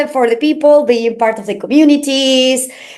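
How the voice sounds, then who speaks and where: Speaking in a high pitch, the woman has a Spanish accent. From Argentina. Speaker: crypto marketing manager. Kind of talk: interview. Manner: halting, many fillers.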